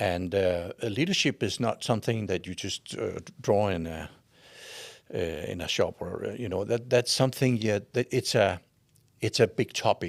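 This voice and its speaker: A man speaks with a Danish accent at a fairly low pitch and a moderate pace. His pitch varies in an ordinary way, and the recording is very clean with a silent background. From Denmark. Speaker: leadership expert and coach. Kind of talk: interview answer.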